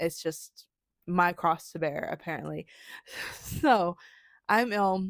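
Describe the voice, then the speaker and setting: This woman mumbles at a very slow pace, with long, frequent pauses, fairly low pitch and ordinary pitch variation. The recording is very clean with a silent background, and the sound is dry and close with no echo. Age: adult. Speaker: vlogger. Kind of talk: casual recap to camera.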